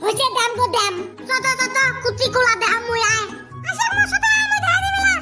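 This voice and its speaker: A woman does a cartoonish character voice at a fairly quick pace with clear music in the background. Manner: loud, drawling.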